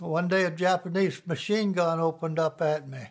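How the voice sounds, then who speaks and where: A man with an American accent speaks at a moderate pace, his high-pitched voice keeping a fairly even intonation. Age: 90s. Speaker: war veteran. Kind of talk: testimony. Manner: halting.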